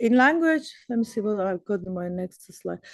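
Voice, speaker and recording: In a Persian accent, a woman speaks at a fairly high pitch with ordinary pitch variation. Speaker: professor. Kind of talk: lecture.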